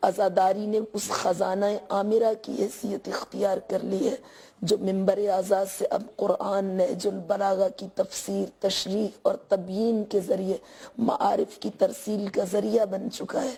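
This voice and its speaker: Speaking very slowly, a woman keeps her medium-pitched voice at a fairly even intonation. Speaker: religious speaker. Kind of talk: formal religious speech. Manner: formal.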